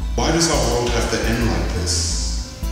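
Clear music sits behind a man's voice. His pitch varies in an ordinary way, and the room echo is strong. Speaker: spoken word poet. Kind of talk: spoken word poetry. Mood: sorrowful, pleading. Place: classroom.

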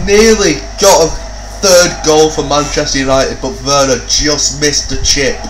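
Noticeable noise sits behind a man speaking at a moderate pace. His tone is animated and excited. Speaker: gaming YouTuber. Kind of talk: sports commentary. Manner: animated, rising excited play-by-play with exclamations; casual, swears freely.

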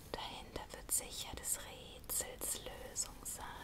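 A woman at a very slow pace amid loud background noise. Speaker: ASMR creator. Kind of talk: whispered bedtime story reading. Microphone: studio mic.

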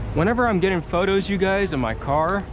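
Clear background music in a dry recording with no echo. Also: man. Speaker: car enthusiast vlogger. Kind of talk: casual vlog chat. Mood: relaxed, mildly frustrated. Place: car. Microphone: phone near.

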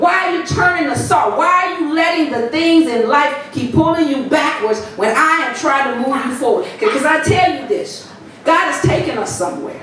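Over light background noise and strong room echo, a woman talks with hardly any pauses in a high voice with lively intonation. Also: moderate pace. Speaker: pastor. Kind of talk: sermon building to an urgent exhortation, hammering repeated commands. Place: church.

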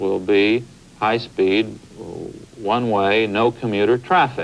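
The man's speech moves at a fairly slow pace. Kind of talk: interview answer. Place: studio.

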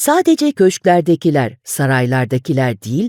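A woman with a dark, mellow tone that is also theatrical and warm speaks at a fairly slow pace, recorded with a dry, close sound and no echo. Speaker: audiobook narrator. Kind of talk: dramatic audiobook narration, reflective and storytelling. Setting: studio. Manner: expressive, measured and theatrical; warm storytelling tone, with shifts in pace.

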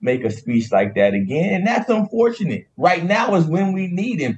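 A somewhat breathy male voice. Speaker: remote guest. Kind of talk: interview answer. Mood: earnest, opinionated. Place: office. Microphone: video call.

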